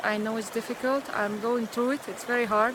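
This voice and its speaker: A woman's fairly high voice with a Hungarian accent, over noticeable background noise. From Hungary. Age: 50s. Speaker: spiritual vlogger. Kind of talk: personal vlog monologue. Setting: outdoors in a pine forest. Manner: halting, many fillers.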